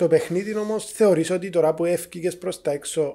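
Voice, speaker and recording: A man is talking fairly slowly. Behind him, the background stays quiet. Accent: Cypriot. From Cyprus. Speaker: podcast host. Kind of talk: casual interview. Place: studio. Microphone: studio mic.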